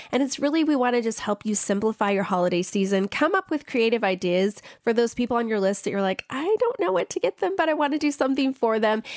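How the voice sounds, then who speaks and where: A woman talks very fast with hardly any pauses, her fairly high pitch making very wide swings at a very even loudness. The sound is dry and close with no echo, over noticeable background noise. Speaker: personal finance blogger. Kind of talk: radio interview.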